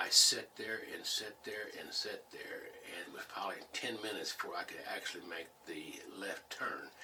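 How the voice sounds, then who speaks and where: Whispering at a moderate pace, a man with an American accent is heard with noticeable background noise and audible room echo. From Missouri (St. James), US Midwest. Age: 70s. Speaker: war veteran and former business teacher. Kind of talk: oral history interview.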